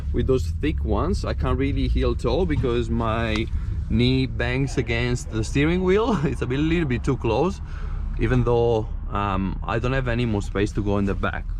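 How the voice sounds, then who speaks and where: A man with an Italian accent at a moderate pace, with audible room echo and noticeable background noise. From Italy. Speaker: amateur racing driver and car vlogger. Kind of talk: casual vlog commentary. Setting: outdoors at a hill climb event. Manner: casual, hesitant with fillers.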